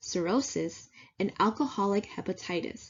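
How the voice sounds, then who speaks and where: A woman talks at a moderate pace in a normal speaking voice. Her pitch is medium and her intonation lively. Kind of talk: slide presentation narration.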